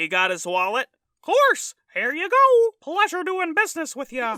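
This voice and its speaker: A woman performs a put-on character voice. Her pitch is extremely high. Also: moderate pace. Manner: sly, smug.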